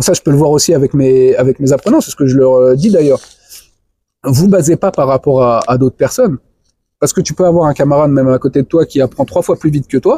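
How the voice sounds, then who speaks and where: The sound is dry and close with no echo as a man speaks at a fairly high pitch in a dark, mellow tone. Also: ordinary pitch variation, fairly quick pace. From France. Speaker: no-code web developer and trainer. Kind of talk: interview conversation. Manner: halting, many repetitions.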